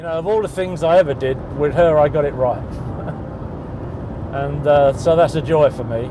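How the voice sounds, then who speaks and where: Over noticeable background noise, a man with a British accent speaks at a moderate pace in a fairly high pitch, using ordinary pitch variation and long, frequent pauses. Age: 60s. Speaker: interviewee living with bipolar disorder. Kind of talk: documentary interview.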